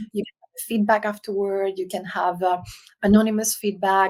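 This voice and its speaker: Her intonation monotone and flat, a woman with a Spanish accent talks at a fairly quick pace. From Spain (Canary Islands), raised partly in France. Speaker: leadership consultant. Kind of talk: podcast interview. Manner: halting.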